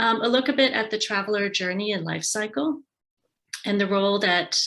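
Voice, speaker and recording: At a moderate pace, a woman talks at medium pitch in an ordinary speaking voice. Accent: American. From United States. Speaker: tourism and marketing advisor. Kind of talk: webinar presentation.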